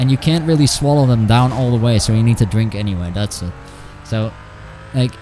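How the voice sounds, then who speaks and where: With music in the background, a man speaks at a moderate pace using ordinary pitch variation. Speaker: video game streamer. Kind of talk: live gameplay stream chat. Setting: home. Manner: halting.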